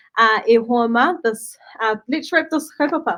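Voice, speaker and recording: With a New Zealand accent, the voice has a bright, sharp tone and ordinary pitch variation, recorded very cleanly against a silent background. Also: woman. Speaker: panel host. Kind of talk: hosted panel discussion.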